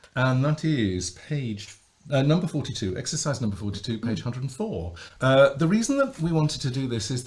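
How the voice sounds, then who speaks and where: A somewhat breathy man talks at a moderate pace with very wide pitch swings. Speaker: voice coach. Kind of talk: podcast conversation.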